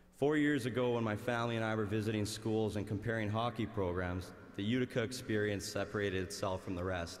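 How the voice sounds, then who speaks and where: With a Canadian accent, a man talks very fast in a fairly low pitch and fairly even intonation, and audible room echo surrounds him. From Canada, Winnipeg, Manitoba. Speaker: graduating student, valedictorian. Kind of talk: commencement speech. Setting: arena with large audience.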